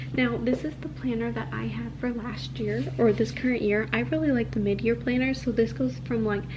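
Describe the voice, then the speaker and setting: Noticeable background noise is present as a woman talks at a moderate speed. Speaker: lifestyle vlogger. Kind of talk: product review. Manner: soft-spoken; casual.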